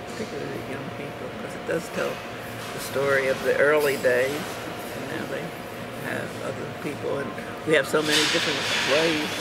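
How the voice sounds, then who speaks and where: With an American accent, a woman talks at a fairly quick pace with long, frequent pauses. Loud background noise runs behind her. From United States. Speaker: dance teacher and arts administrator. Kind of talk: casual conversation. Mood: warm, reflective. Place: cafe.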